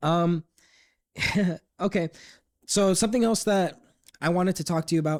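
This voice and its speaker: Speech comes at a moderate pace with long, frequent pauses, fairly even intonation and very even loudness. The recording is very clean with a silent background, and the sound is dry and close with no echo. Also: man, high pitch for a man. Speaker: podcast host. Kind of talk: casual chat.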